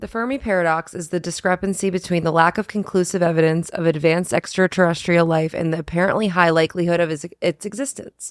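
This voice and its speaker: A robotic, put-on character voice at a middle pitch. It rattles along at a very fast pace with hardly any pauses. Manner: flat, mechanical reading.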